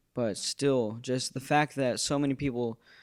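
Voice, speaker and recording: Flat, monotone delivery from a man with an American accent, medium-pitched, at a moderate pace. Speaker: YouTuber. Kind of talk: tribute video monologue. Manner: halting, many fillers.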